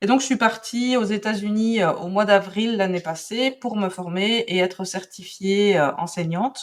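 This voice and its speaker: A woman's medium-pitched voice in a Belgian accent at a fairly slow pace, hardly any pauses, ordinary pitch variation, and noticeable background noise. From Belgium. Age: 40s. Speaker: calligraphy and drawing teacher. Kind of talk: interview. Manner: hesitant, many fillers.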